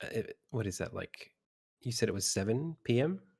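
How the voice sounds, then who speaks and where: A man speaks with an Australian accent. His intonation is lively. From Sydney, Australia. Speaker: game developer. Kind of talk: casual interview during live stream.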